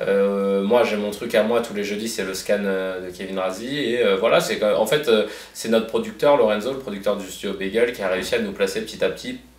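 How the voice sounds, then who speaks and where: A man talks with hardly any pauses. Audible room echo surrounds his voice. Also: moderate pace. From Paris, 19th arrondissement. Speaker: comedian. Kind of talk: casual interview. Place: office.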